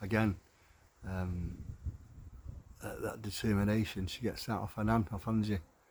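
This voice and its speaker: Somewhat breathy, this man talks with a northern English accent. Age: old. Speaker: carer for his wife, video diarist. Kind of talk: casual video diary monologue. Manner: halting.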